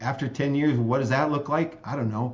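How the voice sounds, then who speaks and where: With an American accent, a man speaks in a somewhat breathy voice and fairly even intonation. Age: 60s. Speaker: state legislator and optometrist. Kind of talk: interview conversation.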